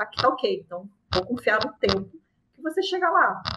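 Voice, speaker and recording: A woman with a Rio de Janeiro accent and very wide pitch swings. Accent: Carioca Brazilian Portuguese. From Brazil, Rio de Janeiro. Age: 40s. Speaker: product manager. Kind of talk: casual interview.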